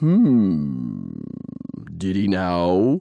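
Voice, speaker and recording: A put-on character voice rumbles at a low pitch. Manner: slow.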